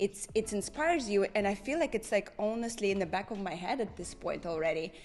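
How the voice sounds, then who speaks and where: A woman speaks with a Russian accent. Her pitch is medium for a woman. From Saint Petersburg, Russia. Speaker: makeup artist, hairstylist, former ballroom dancer. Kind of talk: interview answer.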